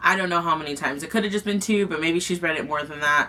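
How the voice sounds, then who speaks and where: The woman's voice sits at a medium pitch with ordinary pitch variation. Background noise is noticeable throughout. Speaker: booktuber. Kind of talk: casual chat. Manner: stuttering.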